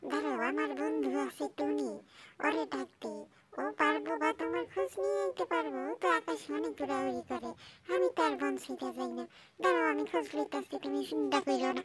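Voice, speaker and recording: This cartoonish character voice sits at a low-to-middle pitch and moves at a moderate pace. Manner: croaking refrain "gyang or gyang".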